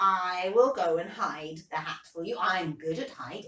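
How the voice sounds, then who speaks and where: A put-on character voice at a moderate pace. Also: woman, medium pitch for a woman. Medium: read story.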